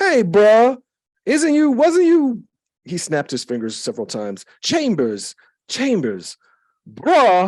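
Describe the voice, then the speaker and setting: In a put-on character voice, raised and projected, the speaker drawls at a fairly slow pace and fairly high pitch with long, frequent pauses. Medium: read story. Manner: drawling.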